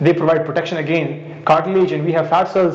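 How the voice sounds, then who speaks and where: A man with a high pitch is heard over noticeable background noise, with audible room echo. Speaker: biology lecturer. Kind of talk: lecture. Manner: fast; halting.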